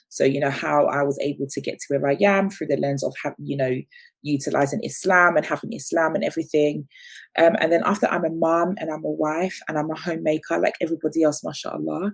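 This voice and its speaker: Speaking with an English accent, a woman talks. Her pace is very fast. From London, England. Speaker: business founder and media presenter. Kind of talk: interview.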